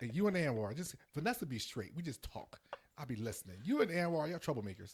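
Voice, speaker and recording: A man's animated, somewhat breathy voice, fairly high in pitch, with very wide pitch swings at a very fast pace. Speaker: finance podcast host. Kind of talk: casual chat.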